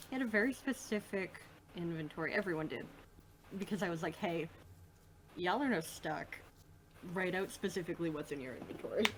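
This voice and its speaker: A woman with an American accent talks at a fairly quick pace in a fairly low pitch, her intonation lively, with long, frequent pauses and noticeable background noise. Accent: Midwest US, slips in when relaxed. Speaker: podcast host and tabletop game master. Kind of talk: casual chat.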